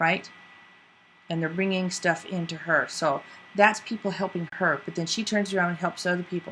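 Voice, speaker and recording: A woman's fairly low, normal speaking voice at a moderate pace with fairly even intonation. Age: 60s. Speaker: video podcast host. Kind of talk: casual commentary.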